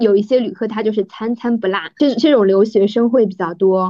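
In an ordinary speaking voice, a woman talks at a moderate pace with fairly high pitch and fairly even intonation. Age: 30s. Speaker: podcast host, former flight attendant, journalist. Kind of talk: casual chat.

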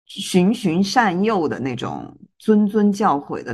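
The voice has vocal fry and very wide pitch swings. The background is quiet. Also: woman. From Guizhou, China. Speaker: podcast co-host. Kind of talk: casual chat.

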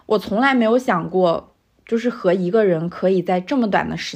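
Against a quiet background, a woman with a plain, everyday voice speaks at a moderate pace and medium pitch, her intonation lively. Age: 20s. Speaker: podcast host. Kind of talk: reading aloud a personal letter.

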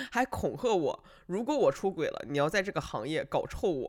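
A man speaks in a raised, projected voice at a moderate pace. His tone is animated, bright and sharp. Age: 30s. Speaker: podcast host. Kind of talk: casual monologue storytelling.

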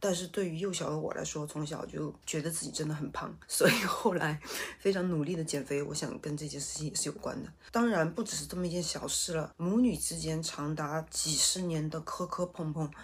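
A woman with a very deep, low pitch talks at a fairly quick pace with ordinary pitch variation and hardly any pauses. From Sichuan, China. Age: 40s. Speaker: vlogger and shop owner. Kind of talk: casual chat. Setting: home study.

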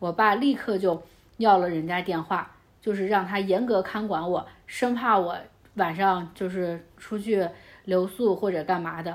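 This is an ordinary speaking voice. A woman talks at a medium pitch and a fairly slow pace, with fairly even intonation. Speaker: guest, friend of host. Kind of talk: casual chat.

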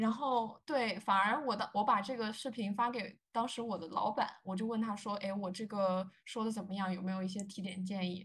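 A somewhat breathy woman at medium pitch speaks at a moderate pace with fairly even intonation and hardly any pauses. The recording is very clean, with a silent background. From China. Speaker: journalist. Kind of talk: interview.

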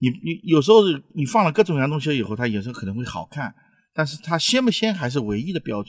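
A man talks at a very fast pace in a somewhat breathy, fairly high voice, with very wide pitch swings and big swings in loudness. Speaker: restaurant owner and chef. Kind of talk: casual chat over a meal, explaining food. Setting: restaurant during a meal. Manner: animated.

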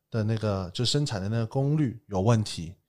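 A man talks at a moderate tempo with an unremarkable speaking voice, a fairly low pitch and ordinary pitch variation, on a very clean recording with a silent background. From Taiwan, then mainland China from age ten. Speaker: entrepreneur. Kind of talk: casual chat. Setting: studio.

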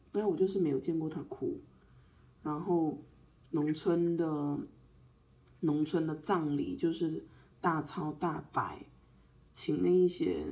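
Delivered at a very slow pace with long, frequent pauses, the dark, mellow voice keeps a fairly even intonation. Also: woman, very deep, low pitch for a woman. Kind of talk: casual chat.

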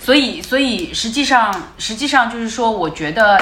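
A woman with a fairly high-pitched voice talks at a fairly slow pace. Audible room echo and noticeable background noise fill the recording. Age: 40s. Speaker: former car brand marketing head. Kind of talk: casual chat. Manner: repetitive stammering.

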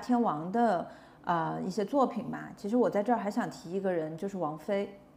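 A woman uses a normal speaking voice at a medium pitch, with ordinary pitch variation and a fairly quick pace. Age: 30s. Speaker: podcast host. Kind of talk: casual chat.

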